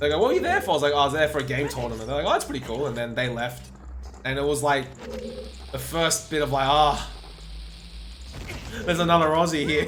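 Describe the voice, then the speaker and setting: An Australian accent at a very fast pace with long, frequent pauses, audible room echo and noticeable background noise. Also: man. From Australia, Sydney. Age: 20s. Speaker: video game speedrunner and streamer. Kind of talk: casual livestream chat. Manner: animated.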